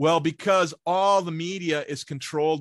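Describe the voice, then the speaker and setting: Recorded very cleanly with a silent background and a dry, close sound with no echo, a man speaks at a fairly slow pace with ordinary pitch variation. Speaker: guest commentator. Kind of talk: angry conspiratorial rant. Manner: hesitant with filler words.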